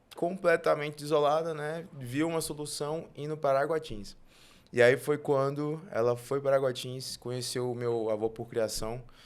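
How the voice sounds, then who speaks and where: With an ordinary speaking voice, a man talks at a moderate pace and a fairly high pitch with ordinary pitch variation on a very clean recording with a silent background. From northern Tocantins, Brazil. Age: 20s. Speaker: guest sharing faith testimony. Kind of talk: testimony.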